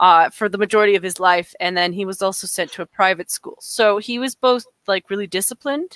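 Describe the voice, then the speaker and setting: In a dry, close sound with no echo, the voice moves at a fairly quick pace with hardly any pauses, ordinary pitch variation and a Canadian accent. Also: woman, medium pitch for a woman. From Calgary, Alberta, Canada. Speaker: gaming streamer. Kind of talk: casual chat. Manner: halting.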